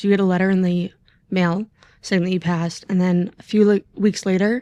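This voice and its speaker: Over a quiet background, a woman talks at a fairly quick pace. Her dark, mellow tone keeps a monotone, flat intonation. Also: dry, close sound with no echo. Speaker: police officer, former EMT. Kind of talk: casual podcast interview. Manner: brief.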